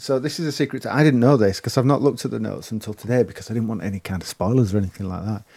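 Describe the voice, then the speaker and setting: Over a silent background in a very clean recording, a man with a dark, mellow tone and medium pitch talks at a very fast pace with ordinary pitch variation. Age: 40s. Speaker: retro arcade gaming enthusiast, stand-in co-host. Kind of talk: casual chat.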